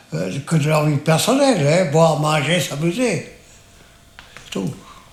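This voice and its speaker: A man talks at a very slow pace with lively intonation and a fairly high pitch. His loudness swings widely, and background noise is noticeable. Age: 80s+. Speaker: massacre survivor, witness. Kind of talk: interview answer.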